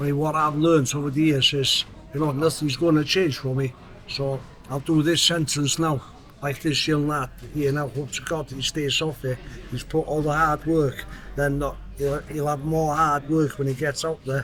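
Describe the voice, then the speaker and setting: Over background music, a man speaks with a fairly high pitch and monotone, flat intonation. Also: moderate pace. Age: 60s. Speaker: prisoner in recovery. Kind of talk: casual chat.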